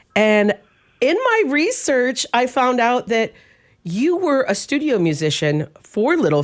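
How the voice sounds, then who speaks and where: A woman speaks in an enthusiastic tone at a fairly slow pace, her pitch swinging very widely, on a very clean recording with a silent background. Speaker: interviewer. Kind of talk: interview questions.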